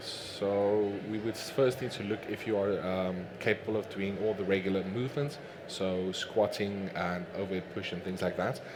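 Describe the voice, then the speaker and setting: Amid noticeable background noise and audible room echo, a man with a fairly low pitch talks at a moderate pace with fairly even intonation and hardly any pauses. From Namibia. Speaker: fitness coach and bodybuilder. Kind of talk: Q&A at a talk. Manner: hesitant, many fillers.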